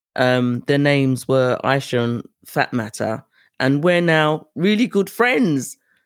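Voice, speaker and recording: Someone with a British accent talks at a fairly slow pace on a very clean recording with a silent background. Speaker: podcast host and tour organizer. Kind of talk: solo podcast monologue.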